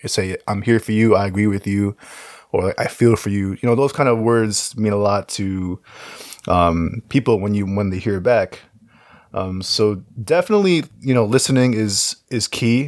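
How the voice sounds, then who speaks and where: He has a normal speaking voice, fairly low in pitch. The man talks at a moderate pace with ordinary pitch variation. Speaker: podcast co-host. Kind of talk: casual chat.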